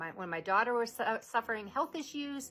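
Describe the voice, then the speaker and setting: With music behind her, a woman talks using lively intonation. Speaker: vlogger with a neurological disorder. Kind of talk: personal vlog monologue.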